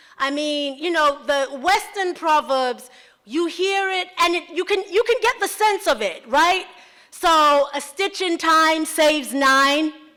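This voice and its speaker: Extremely high-pitched and bright, sharp, a woman raises and projects her voice in an animated tone with lively intonation. She speaks at a fairly slow pace. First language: Xhosa. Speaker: pastor and speaker. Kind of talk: public talk.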